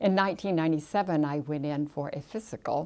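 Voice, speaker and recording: In a very clean recording with a silent background, a woman speaks at a moderate pace with a very deep, low pitch, a dark, mellow tone and ordinary pitch variation. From Kansas, US Midwest. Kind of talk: testimony.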